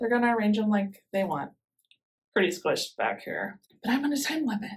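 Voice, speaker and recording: A woman with a somewhat breathy, fairly high voice speaks at a fairly quick pace with lively intonation. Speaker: gardening channel host. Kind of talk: tutorial. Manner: fast.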